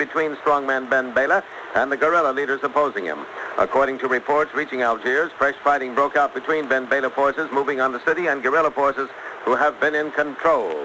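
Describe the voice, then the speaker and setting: A man at a very fast pace and fairly high pitch, with noticeable background noise. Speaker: radio newscaster. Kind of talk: radio news broadcast. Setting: 1960s radio broadcast recording.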